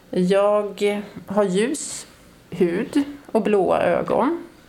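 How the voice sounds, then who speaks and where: A woman's voice carries an audible room echo along with noticeable background noise. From northern Sweden (Norrland). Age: 50s. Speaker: audio describer and artist. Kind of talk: interview. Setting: opera house foyer.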